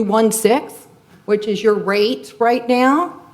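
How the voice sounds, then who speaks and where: Noticeable background noise fills this recording. Through it, a woman speaks at a fairly high pitch. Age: 60s. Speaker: resident speaking at public comment. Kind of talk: public comment at council meeting. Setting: city council meeting. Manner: unscripted.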